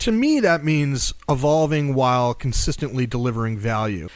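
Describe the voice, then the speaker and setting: The delivery has an ordinary speaking voice at a moderate pace. Its intonation is lively. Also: man. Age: 40s. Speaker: podcast host. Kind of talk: casual interview podcast. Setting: studio in Washington, D.C.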